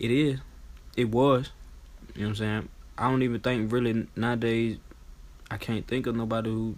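At a moderate pace broken by long, frequent pauses, a man speaks in a monotone, flat intonation at a medium pitch. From Atlanta, Georgia (East Atlanta). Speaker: rapper. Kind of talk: casual chat.

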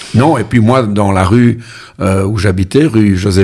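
A plain, everyday voice from a man, fairly low in pitch, at a fairly slow pace with ordinary pitch variation. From Brussels, Belgium. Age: 60s. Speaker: musician and amateur football coach. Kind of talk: casual interview.

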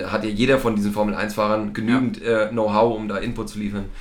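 A man talks at a fairly quick pace with fairly even intonation, over noticeable background noise and audible room echo. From eastern Germany. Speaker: sports podcast co-host. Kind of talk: casual chat.

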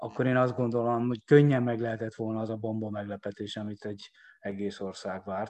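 A man's normal speaking voice at medium pitch, fairly quick, with fairly even intonation. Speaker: sports economist. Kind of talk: interview. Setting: podcast.

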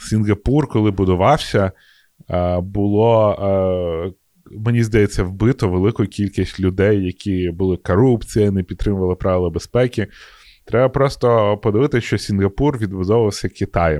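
Fairly low in pitch, a man speaks in a normal speaking voice with ordinary pitch variation and very even loudness, at a moderate pace. The sound is dry and close with no echo and a quiet background. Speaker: podcast co-host. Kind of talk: casual chat.

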